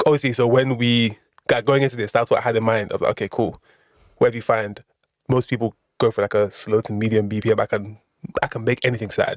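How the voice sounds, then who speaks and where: A man talks at a very fast pace in a London accent, with a medium pitch and monotone, flat intonation. The sound is dry and close, with no echo. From South East London (Erith). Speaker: rapper. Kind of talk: casual podcast interview. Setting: studio.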